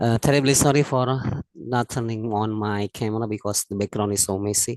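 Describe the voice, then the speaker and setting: Fairly quick delivery with fairly even intonation. The sound is dry and close with no echo, over a quiet background. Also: man, fairly low pitch for a man. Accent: Indonesian. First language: Indonesian. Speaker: teacher. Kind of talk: webinar question. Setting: video call. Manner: halting.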